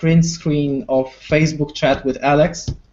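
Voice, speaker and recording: A man speaks with a Polish accent. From Poland. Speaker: wargaming YouTuber. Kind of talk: casual chat.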